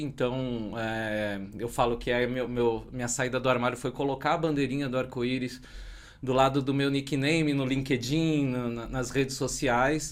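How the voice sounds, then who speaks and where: Keeping a moderate pace, a man with a normal speaking voice and medium pitch talks with fairly even intonation. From Brazil, São Paulo. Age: 40s. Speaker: tech community organizer and podcaster. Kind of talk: podcast interview.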